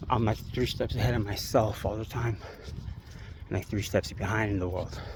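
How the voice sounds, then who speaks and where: A man with an American accent, fairly low pitch, monotone, flat intonation and a moderate pace, over noticeable background noise. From New York City, Queens. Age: 50s. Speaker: vlogger. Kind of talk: casual monologue vlog. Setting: outdoors, walking by a busy street at night. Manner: rambling, filler-heavy.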